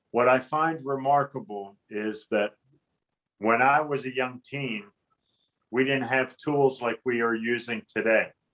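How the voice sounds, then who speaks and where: Speaking fairly slowly in a western Pennsylvania accent, a man keeps a medium pitch and fairly even intonation. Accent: western Pennsylvania American. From western Pennsylvania, Johnstown. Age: 50s. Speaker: navy veteran, advocacy group president. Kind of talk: interview.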